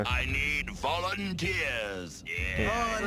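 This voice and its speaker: Over loud background noise, a man uses a put-on character voice. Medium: voice reel. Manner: cold, scheming.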